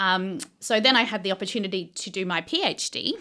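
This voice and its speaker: Against a very clean recording with a silent background, a woman with an Australian accent speaks at a moderate pace in a bright, sharp tone. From Australia, Victoria. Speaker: cancer researcher. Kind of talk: interview.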